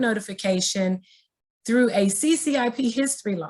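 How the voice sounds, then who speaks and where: A woman's somewhat breathy, fairly high voice at a moderate pace, with lively intonation over a quiet background. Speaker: state education agency trainer. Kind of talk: webinar training presentation.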